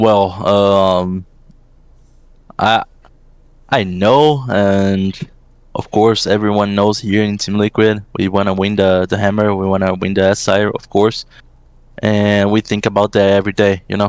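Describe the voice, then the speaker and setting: Speaking with a Portuguese accent, a man uses a fairly low pitch and a monotone, flat intonation at a fairly slow pace, with long, frequent pauses. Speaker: esports assistant coach. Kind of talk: interview. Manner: halting, many fillers.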